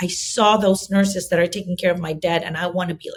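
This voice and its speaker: A woman's somewhat breathy, medium-pitched voice with an American accent, at a fairly quick pace. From Philippines. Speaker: nurse and assisted living business owner. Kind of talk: interview. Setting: podcast. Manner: animated.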